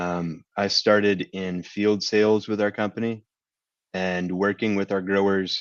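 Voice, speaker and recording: A man's normal speaking voice with an American accent, fairly low in pitch, fairly slow and fairly even in intonation, over a quiet background. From Kentucky, US. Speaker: agribusiness sustainability lead. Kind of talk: webinar presentation.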